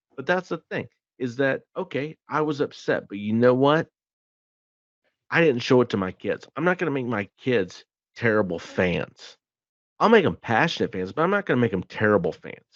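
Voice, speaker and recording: A man speaks loudly at a moderate pace. His voice sits at a medium pitch but swings very widely. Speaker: sports podcast host. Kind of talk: casual chat. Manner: animated.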